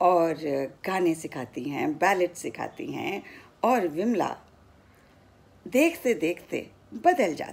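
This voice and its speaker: Medium-pitched woman's voice with very wide pitch swings. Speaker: retired radio broadcaster, former station director. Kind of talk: story narration. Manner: clear Hindi diction.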